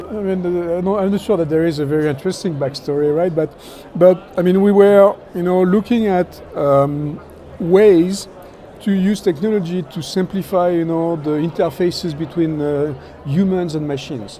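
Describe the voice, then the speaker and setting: A man's high voice in a French accent, at a moderate pace with ordinary pitch variation and noticeable background noise. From France. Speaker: technology executive. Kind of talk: interview. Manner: hesitant, many fillers.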